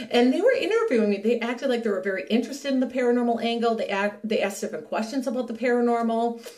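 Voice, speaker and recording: Noticeable background noise and audible room echo surround a woman. She talks at a very fast pace with fairly even intonation. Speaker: paranormal researcher and vlogger. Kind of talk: casual vlog monologue. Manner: hesitant, many fillers and restarts.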